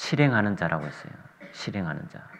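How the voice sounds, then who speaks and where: A man with a fairly low pitch talks at a moderate pace, his intonation lively. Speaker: visiting preacher. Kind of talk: sermon. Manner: soft-spoken.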